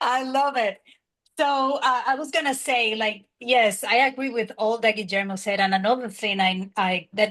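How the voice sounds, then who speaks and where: Speaking fairly slowly with a strong Spanish accent, a woman uses a fairly high pitch and ordinary pitch variation. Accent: thick Spanish. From Dominican Republic. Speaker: graduate student. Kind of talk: panel discussion.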